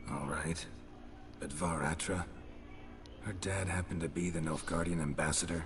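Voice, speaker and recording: A put-on character voice in a deadpan tone, moderate in pace, with long, frequent pauses over loud background noise. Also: man, very deep, low pitch for a man. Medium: video game. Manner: terse, dry, deadpan.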